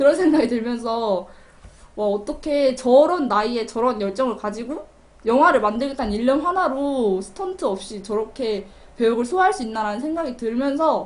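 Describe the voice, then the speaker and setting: Over noticeable background noise, a woman speaks at a moderate pace with a high pitch, an animated tone and lively intonation. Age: young. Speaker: community TV film review host. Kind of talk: film review monologue.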